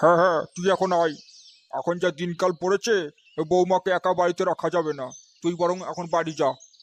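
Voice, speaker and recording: In a cartoonish character voice pitched high for a man, he speaks at a moderate pace in a flat monotone, with a dry, close sound and no echo. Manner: hesitant, stammering with filler sounds.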